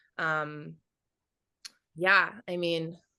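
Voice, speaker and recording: Over a quiet background, a woman with an American accent speaks in a bright, sharp tone. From Florida small town. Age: 20s. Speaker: singer-songwriter. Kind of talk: interview. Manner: casual, filler-heavy.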